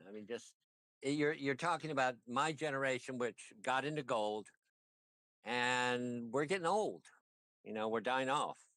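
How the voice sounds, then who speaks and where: Male speech in a plain, everyday voice, medium-pitched, moderately paced, its pitch varying in an ordinary way. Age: 60s. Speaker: trader on a live stream. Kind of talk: casual chat.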